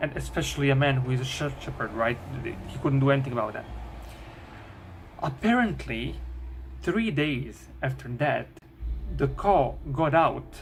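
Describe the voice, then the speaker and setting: With a non-native accent, a man talks at a moderate pace with long, frequent pauses, and room echo is audible. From Bosnia. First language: Bosnian. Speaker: YouTuber. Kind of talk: storytelling. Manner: halting.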